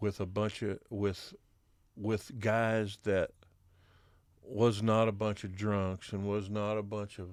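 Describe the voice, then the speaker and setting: A man's fairly low, monotone voice at a very slow pace with flat intonation, in a very clean recording over a silent background. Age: 60s. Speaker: country band bassist. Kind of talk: casual chat. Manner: halting.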